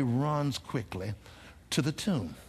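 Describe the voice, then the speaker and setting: A man with a fairly high pitch sounds somewhat breathy. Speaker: preacher. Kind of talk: sermon. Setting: church.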